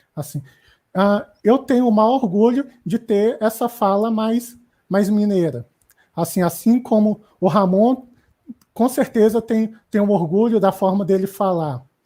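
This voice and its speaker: A woman with a medium-pitched, dark, mellow voice talks at a very slow pace, leaving long, frequent pauses. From Brasília, Brazil. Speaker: designer. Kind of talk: online panel discussion.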